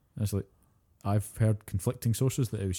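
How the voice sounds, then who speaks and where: A man with a Scottish accent speaks at a fairly quick pace in a fairly low, dark, mellow, somewhat breathy voice. His intonation is fairly even, and the recording is very clean with a silent background. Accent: British (Scottish). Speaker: podcast co-host. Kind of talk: casual chat.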